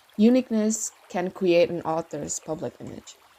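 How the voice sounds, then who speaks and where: Lively in intonation, a woman speaks with a non-native accent. Her tone is dark and mellow. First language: not English. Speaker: fanfiction writer and video creator. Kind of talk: Q&A video, answering viewer questions. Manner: casual, with fillers and self-corrections.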